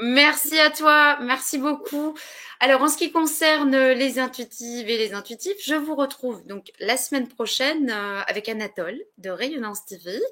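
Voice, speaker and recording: A woman speaks in a raised, projected voice with a high pitch and a bright, sharp tone. Her pace is fairly slow, her intonation lively, and her loudness swings widely. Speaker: web show host. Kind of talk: live interview closing. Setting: live online broadcast. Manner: halting, stumbling over words.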